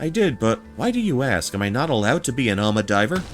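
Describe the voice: Here someone is doing plain reading aloud.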